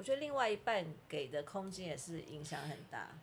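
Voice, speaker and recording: A woman's voice, fairly low in pitch, comes across as somewhat breathy. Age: 50s. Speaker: podcast host. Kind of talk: casual chat. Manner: animated.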